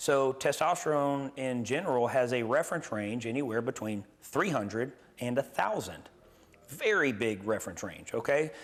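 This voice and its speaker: A man with an American accent and a plain, everyday voice, medium in pitch, with ordinary pitch variation and a moderate pace. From US South, Gulf Coast Mississippi. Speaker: nurse practitioner and clinic owner. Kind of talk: interview. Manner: casual, with frequent fillers.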